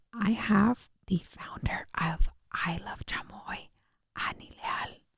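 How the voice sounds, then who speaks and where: Whispering at a very slow pace, a woman speaks. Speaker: podcast host. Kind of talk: casual chat. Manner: animated.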